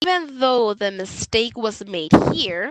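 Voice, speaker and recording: The sound is dry and close with no echo. A woman speaks at a medium pitch and a fairly slow pace. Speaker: math teacher. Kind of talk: livestream math review lesson. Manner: hesitant fillers (uh).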